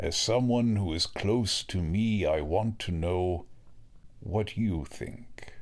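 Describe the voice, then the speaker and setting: A man puts on a character voice, fairly low in pitch, moving at a very slow pace with ordinary pitch variation. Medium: audio drama. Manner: calm, measured.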